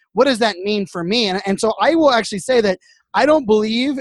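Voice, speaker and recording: A man speaks with a high pitch whose variation is ordinary. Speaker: social media influencer and keynote speaker. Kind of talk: casual podcast interview. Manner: fast talker.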